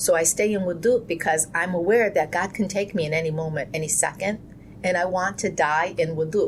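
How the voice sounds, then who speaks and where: At a moderate pace, a woman with an unremarkable speaking voice talks in a fairly low pitch with fairly even intonation. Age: 50s. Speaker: Islamic community leader. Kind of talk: interview. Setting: podcast. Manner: reflective, earnest.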